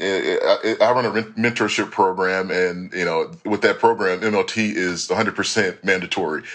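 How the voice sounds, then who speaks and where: A man's fairly low voice, a plain, everyday voice, at a fairly slow pace with fairly even intonation and an American accent. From Dallas, Texas. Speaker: MBA student, former military cadet. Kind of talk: podcast interview.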